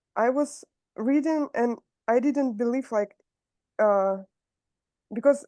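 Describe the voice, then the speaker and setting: A woman with a Russian accent talks at a very slow pace, with long, frequent pauses and a high pitch, in a dark, mellow tone. Her pitch variation is ordinary, and the sound is dry and close, with no echo. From southern Russia, Rostov-on-Don. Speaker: meeting participant. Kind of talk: question and answer. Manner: halting.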